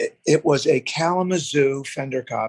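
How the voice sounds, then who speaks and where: The sound is dry and close with no echo as a man talks in an American accent. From US Northeast. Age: 60s. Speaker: bassist. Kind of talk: casual chat.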